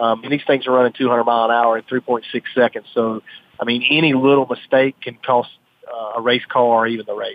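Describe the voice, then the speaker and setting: With a Southern US accent, a man speaks at a medium pitch and a fairly quick pace. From North Carolina. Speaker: drag racer. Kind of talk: radio interview.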